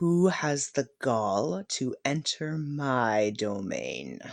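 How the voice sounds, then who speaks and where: Against a quiet background, a man uses a put-on character voice that is rumbling and fairly high-pitched, speaking at a very slow pace. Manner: menacing, imperious.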